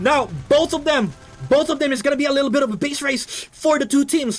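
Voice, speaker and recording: Over music in the background, a man talks at an extremely high pitch. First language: not English. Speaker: game caster. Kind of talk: live commentary.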